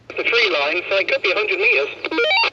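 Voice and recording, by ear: At a moderate pace, the voice has a husky, rough edge, a bright, sharp tone and very wide pitch swings. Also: man, high pitch for a man.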